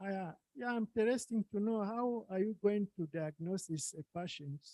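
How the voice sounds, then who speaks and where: A man's high-pitched voice with a dark, mellow tone, ordinary pitch variation and a moderate pace, in a dry, close sound with no echo. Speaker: workshop attendee asking questions. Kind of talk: Q&A discussion. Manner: soft-spoken. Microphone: too quiet.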